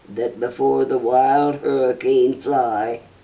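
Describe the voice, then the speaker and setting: Her tone dark and mellow, a woman speaks with very wide pitch swings. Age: 80s+. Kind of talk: poetry reading.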